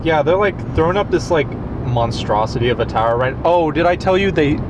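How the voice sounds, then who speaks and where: Fairly quick speech from a man, the sound dry with no echo and noticeable background noise. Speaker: actor playing a passenger friend. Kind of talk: scripted casual conversation. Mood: relaxed, reminiscing. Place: car.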